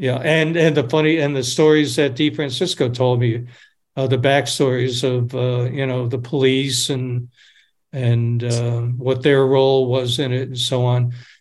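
In an American accent, a man speaks at a medium pitch and a fairly slow pace with monotone, flat intonation and audible room echo. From upstate New York. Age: 70s. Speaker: documentary director. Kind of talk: casual chat. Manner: halting.

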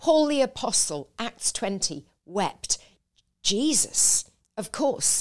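Using vocal fry, a woman speaks very slowly at a fairly high pitch with very wide pitch swings, on a very clean recording with a silent background. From northern England village. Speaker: preacher and author. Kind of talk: testimony.

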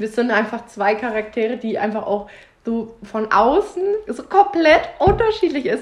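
Through noticeable background noise, a woman with a fairly high pitch and an animated tone speaks at a fairly slow pace, her pitch swinging very widely. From Bavaria, Germany. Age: 20s. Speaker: podcast host, trainee childcare worker. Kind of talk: casual chat. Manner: giggly, animated.

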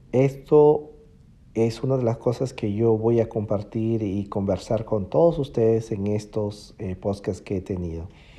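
Dark and mellow in tone, this man's voice sits at a medium pitch. He talks at a fairly slow pace with ordinary pitch variation. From Peru, Piura. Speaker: musician and online music teacher. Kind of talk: personal diary podcast monologue. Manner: halting, many fillers.

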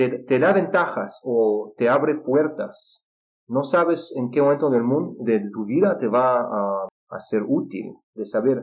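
A man speaks with a Russian accent at a very slow pace. His intonation is lively. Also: medium pitch for a man. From Israel. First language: Russian (speaking Spanish). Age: 30s. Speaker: polyglot and English teacher. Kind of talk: interview. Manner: halting with fillers.

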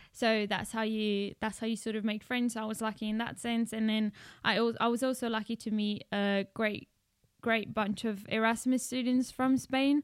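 On a very clean recording with a silent background, a woman with a South African accent speaks at a moderate pace in a flat monotone at a fairly high pitch. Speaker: student. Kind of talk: casual chat.

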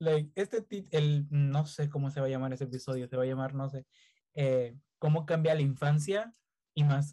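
Its tone is dark and mellow, with some breathiness. The pace is moderate, and the pitch varies in an ordinary way. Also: man. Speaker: podcast host. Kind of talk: casual chat. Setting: video call.

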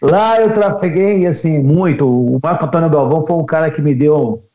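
Using lively intonation at a fairly slow pace, a man speaks in an unremarkable speaking voice. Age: 50s. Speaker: radio announcer. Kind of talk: casual interview chat.

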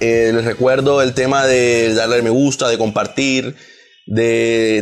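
Against noticeable background noise, a man speaks at a medium pitch with monotone, flat intonation. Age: 20s. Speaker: podcast host. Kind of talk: casual chat.

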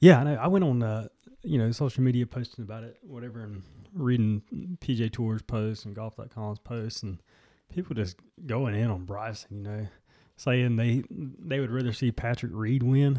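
In a very clean recording with a silent background and a dry, close sound with no echo, a man uses a normal speaking voice at a medium pitch. He keeps a moderate pace with ordinary pitch variation and big swings in loudness. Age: 20s. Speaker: golf podcast co-host. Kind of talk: casual chat.

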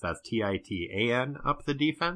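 Lively intonation and a bright, sharp tone from a man with a New England accent, against a quiet background. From New Hampshire. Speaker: podcaster guest. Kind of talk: casual chat.

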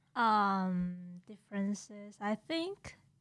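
In a strong Taiwanese accent, a woman speaks with a fairly high pitch. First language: Mandarin. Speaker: graduate student. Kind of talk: casual chat.

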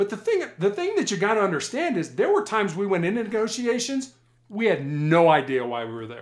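At a fairly quick pace, a man speaks in a high pitch. His pitch swings very widely. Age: 60s. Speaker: former police hostage negotiator. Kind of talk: interview storytelling. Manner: halting, repeats words.

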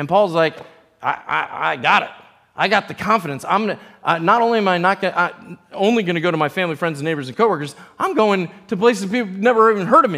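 A man with an American accent speaks in a raised, projected voice at a very fast pace. His pitch is high, his intonation lively, and his tone bright and sharp. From US East Coast, tri-state area. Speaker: pastor. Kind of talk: sermon. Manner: halting.

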